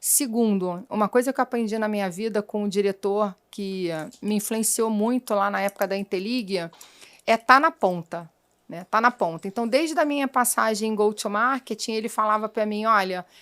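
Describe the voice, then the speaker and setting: The speaker has a Rio de Janeiro accent and talks at a moderate pace with ordinary pitch variation. The recording is very clean, with a silent background and a dry, close sound that has no echo. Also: woman, fairly high pitch for a woman. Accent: carioca accent, noticeable. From Rio de Janeiro, Brazil. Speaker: sales executive. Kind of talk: interview.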